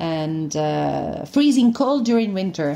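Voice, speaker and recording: A woman's medium-pitched, dark and mellow voice at a very slow pace. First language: Italian (speaking Dutch). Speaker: actress. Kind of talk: promotional interview.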